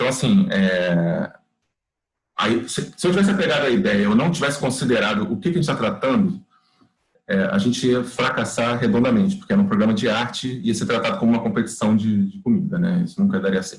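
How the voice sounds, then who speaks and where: A man's medium-pitched voice at a fairly quick pace, full of very wide pitch swings. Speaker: workshop teacher, TV producer. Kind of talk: online class lecture. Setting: video call. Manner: fast; animated.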